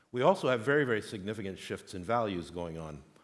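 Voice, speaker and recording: A man talks at a fairly quick pace in a room with audible echo. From Quebec, Montreal. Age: 60s. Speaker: conference speaker. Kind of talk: conference talk.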